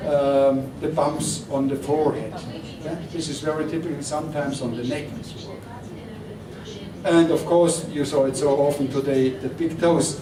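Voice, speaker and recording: A man at a fairly high pitch with monotone, flat intonation, audible room echo and noticeable background noise. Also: moderate pace. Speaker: doctor. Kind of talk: lecture.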